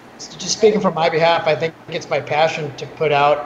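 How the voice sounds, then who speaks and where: At a moderate pace, a man with a fairly high voice speaks in fairly even intonation over noticeable background noise. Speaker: beverage company co-founder. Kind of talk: interview. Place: office. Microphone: video call.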